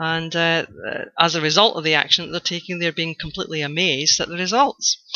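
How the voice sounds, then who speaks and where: This woman has a Scottish accent and a fairly low pitch, and she speaks at a moderate pace. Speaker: blogger, online course student. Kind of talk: video testimonial. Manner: hesitant, many fillers.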